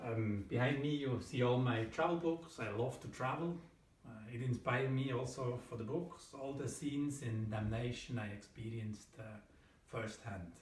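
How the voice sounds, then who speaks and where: A man with a German accent speaks at a moderate pace in a medium pitch, with ordinary pitch variation. Audible room echo and noticeable background noise are present. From Switzerland. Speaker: thriller author. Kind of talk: book presentation to camera. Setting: at home in front of bookshelf. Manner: hesitant, many fillers.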